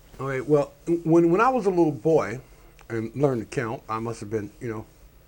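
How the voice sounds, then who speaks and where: This man speaks at a fairly quick pace with an American accent and lively intonation. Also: long, frequent pauses, big swings in loudness. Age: 60s. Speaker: talk show co-host. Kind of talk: casual chat. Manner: halting, many repetitions and fillers.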